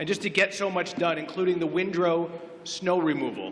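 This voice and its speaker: Noticeable background noise sits behind this man's voice. He talks at a moderate pace and a fairly high pitch. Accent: Canadian. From Oak Ridges, Ontario, Canada. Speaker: incumbent councillor candidate. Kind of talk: candidate debate speech. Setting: public event with audience.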